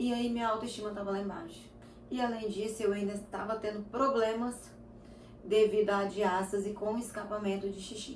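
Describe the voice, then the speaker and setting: Her intonation is monotone and flat, with a fairly high pitch at a moderate pace. This woman is heard with audible room echo and noticeable background noise. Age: 30s. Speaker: lifestyle vlogger. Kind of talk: casual chat.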